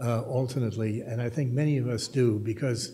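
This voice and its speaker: In an American accent, a man with a medium pitch and a dark, mellow, somewhat breathy tone speaks with fairly even intonation amid audible room echo. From Germany, then US. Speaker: journalist and author. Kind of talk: panel discussion talk. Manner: halting, many fillers. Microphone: slight echo in room.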